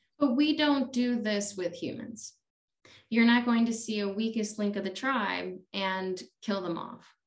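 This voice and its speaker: A woman's fairly high, somewhat breathy voice in an American accent, at a fairly slow pace. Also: ordinary pitch variation. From Chicago, US Midwest. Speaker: yoga teacher. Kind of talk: casual chat. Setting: at home.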